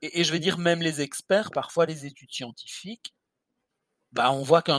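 An ordinary speaking voice from a man, fairly high in pitch with ordinary pitch variation, at a fairly quick pace, with a dry, close sound and no echo. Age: 50s. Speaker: skincare blogger, podcast co-host. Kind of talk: casual chat.

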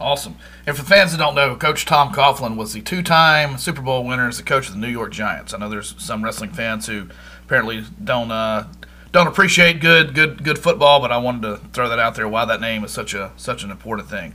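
A man with a Southern US accent, a medium pitch, a bright, sharp tone, lively intonation, big swings in loudness, and a fairly quick pace. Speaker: podcast co-host. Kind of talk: casual interview.

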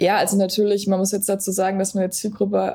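A woman speaks at a medium pitch. Her tone is dark, mellow and somewhat breathy. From Berlin, Germany. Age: 20s. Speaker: sports nutrition coach. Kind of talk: podcast interview.

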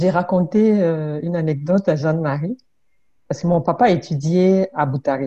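The voice has a dark, mellow tone and ordinary pitch variation. It moves at a moderate pace. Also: woman, fairly low pitch for a woman. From Congo (southern), born in Burundi. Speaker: immigrant-services trainer and mediator. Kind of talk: casual interview conversation.

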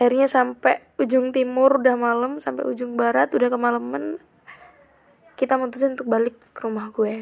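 A woman's high voice at a fairly quick pace with ordinary pitch variation. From Central Java (Kebumen). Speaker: podcaster. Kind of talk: casual monologue. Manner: chatty, frequent laughs.

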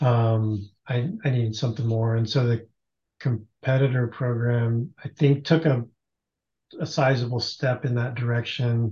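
Fairly slow and somewhat breathy, a man's medium-pitched voice has a dark, mellow tone and fairly even intonation. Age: 50s. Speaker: masters CrossFit athlete. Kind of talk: casual chat.

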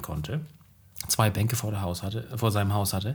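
Here is a man with a plain, everyday voice. He speaks at a fairly quick pace, fairly low in pitch, with fairly even intonation. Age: 30s. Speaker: teacher and podcast co-host. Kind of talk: casual chat.

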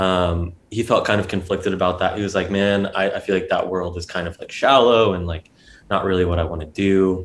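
A man's very deep, low voice in an American accent, fairly quick and monotone with flat intonation, on a very clean recording with a silent background. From US South (Georgia, Atlanta suburbs). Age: 20s. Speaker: photographer and drummer. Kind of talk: casual interview conversation.

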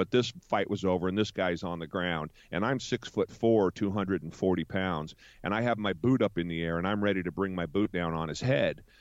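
Speaking with an American accent, a man with a very deep, low pitch uses ordinary pitch variation. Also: moderate pace. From United States. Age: 50s. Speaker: business owner. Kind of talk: interview. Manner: halting.

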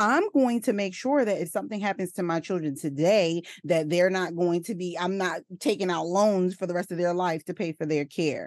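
A woman with an unremarkable speaking voice, fairly low in pitch, talks at a moderate pace with ordinary pitch variation and hardly any pauses, the sound dry and close with no echo. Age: 30s. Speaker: maternity nurse and perinatal coach. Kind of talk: casual interview chat.

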